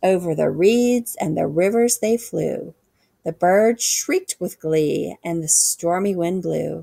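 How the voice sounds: Here is a natural reading voice. The background stays quiet.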